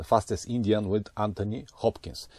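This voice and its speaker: A man with a non-native accent speaks at a fairly low pitch in a dark, mellow tone. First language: not English. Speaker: motorcycle travel vlogger. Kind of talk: vlog intro and interview.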